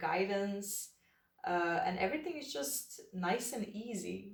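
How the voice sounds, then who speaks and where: The woman's speech carries a non-native accent. She talks very slowly. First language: not English. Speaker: tarot reader. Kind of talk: tarot reading. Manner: relaxed, hesitant with fillers.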